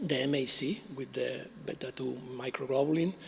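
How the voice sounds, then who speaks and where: Through noticeable background noise, a man speaks at a fairly high pitch with ordinary pitch variation. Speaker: cancer researcher. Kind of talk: conference talk. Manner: halting, many fillers.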